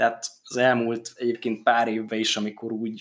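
This man's voice sits fairly low in pitch, and he talks at a moderate pace. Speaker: football podcast host. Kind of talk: casual chat.

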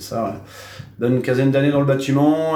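Fairly brisk speech from a man, amid noticeable background noise and clearly audible room echo. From Normandy, France (Cherbourg, Cotentin). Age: 30s. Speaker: tattoo artist. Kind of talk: casual interview. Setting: his tattoo studio. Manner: hesitant, many fillers.

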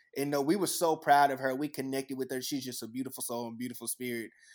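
On a very clean recording with a silent background, a man talks at a very fast pace with medium pitch, fairly even intonation and big swings in loudness. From Texas. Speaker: YouTube music reactor. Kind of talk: casual interview chat.

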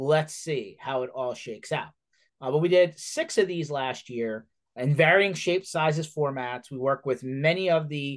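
A man with an unremarkable speaking voice and an American accent talks at a moderate pace, his fairly high pitch showing ordinary variation. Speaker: podcast host. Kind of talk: casual interview chat.

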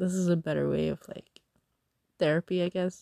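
Her fairly low-pitched voice has a dark, mellow tone and monotone, flat intonation, recorded as a dry, close sound with no echo, from a woman. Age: 20s. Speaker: podcast host. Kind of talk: casual monologue. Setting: in bed under a blanket at night. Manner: rambling, hesitant with fillers.

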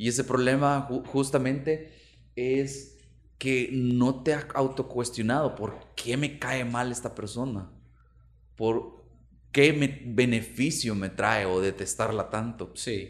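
The pace is very slow. A man speaks at medium pitch with fairly even intonation. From El Salvador, Santa Tecla. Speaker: podcast co-host. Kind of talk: casual chat. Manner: halting.

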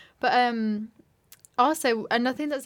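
A fairly quick Yorkshire accent in a very clean recording with a silent background. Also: woman. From West Yorkshire. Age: 20s. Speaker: journalism student and podcast co-host. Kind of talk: casual chat.

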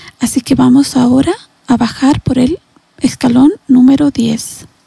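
In a dry, close recording with no echo, a woman talks at a high pitch. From Latin America. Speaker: psychologist or therapist. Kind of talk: guided meditation; interview.

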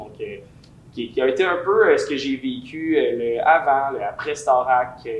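This man talks at a fairly slow pace. His pitch variation is ordinary. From Quebec, Lévis (Saint-Étienne-de-Lauzon). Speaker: singer and musician. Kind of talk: casual interview. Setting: recording room.

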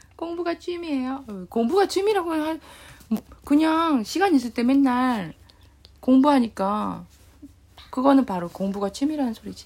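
A woman's high-pitched voice with very wide pitch swings, a moderate pace and long, frequent pauses. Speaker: podcast host, Korean teacher. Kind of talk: casual chat.

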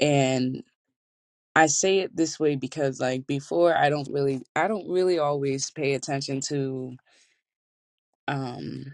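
A woman with a very deep, low pitch speaks fairly slowly, leaving long, frequent pauses. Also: ordinary pitch variation. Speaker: podcast host. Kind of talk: casual monologue. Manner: halting, many fillers.

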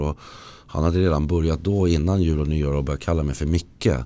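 A man talks very fast in a very deep, low pitch. His delivery is monotone and flat, with a dark, mellow tone. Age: 40s. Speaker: recovering addict. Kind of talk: personal testimony. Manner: halting, with many false starts.

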